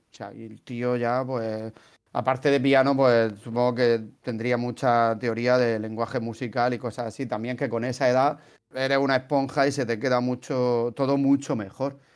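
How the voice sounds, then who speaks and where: A man with a Murcian accent speaks at a moderate pace and medium pitch in a monotone, flat intonation. The recording is very clean, with a silent background. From Spain, Murcia. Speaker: podcast host, translator. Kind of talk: casual chat.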